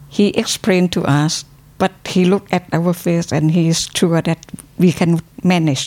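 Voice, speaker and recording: The woman talks at a moderate pace in a fairly low voice, with very even loudness, fairly even intonation, and a dry, close sound with no echo. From Thailand. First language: Thai (speaking German). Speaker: university academic. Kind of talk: interview. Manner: halting.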